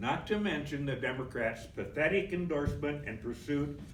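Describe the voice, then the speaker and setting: A somewhat breathy voice with audible room echo. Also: man. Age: 70s. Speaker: political activist. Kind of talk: convention speech.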